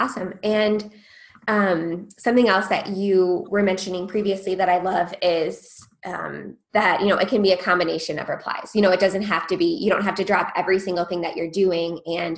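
A woman with an ordinary speaking voice talks at a moderate pace, her medium pitch held in fairly even intonation. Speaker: podcast host. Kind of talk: interview conversation.

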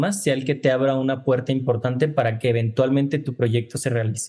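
This man speaks with a fairly high pitch. His tone is dark and mellow. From Guadalajara, Jalisco, Mexico. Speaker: filmmaker. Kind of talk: interview. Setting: video call. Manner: casual, slangy street speech.

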